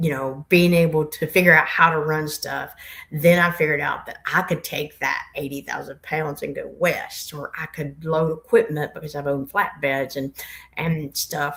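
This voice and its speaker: A woman with a strong Appalachian accent speaks at a moderate pace in a very deep, low pitch, her intonation monotone and flat while her loudness swings widely. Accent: Appalachian Southern accent, strong. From US South, Blue Ridge Mountains near Boone, North Carolina. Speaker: truck driver and fleet operations manager. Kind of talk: podcast interview.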